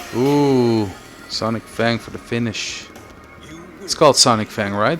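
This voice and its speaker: A man speaks at a fairly slow pace with big swings in loudness. Music plays in the background. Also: medium pitch for a man, ordinary pitch variation. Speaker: stream commentator. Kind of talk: live commentary. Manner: casual, hesitant fillers.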